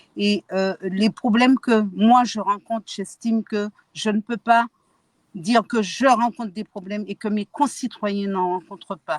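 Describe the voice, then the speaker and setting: Somewhat breathy and fairly high, a woman's voice moves at a fairly slow pace with ordinary pitch variation in a dry, close sound with no echo. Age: 60s. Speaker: activist. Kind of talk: testimony.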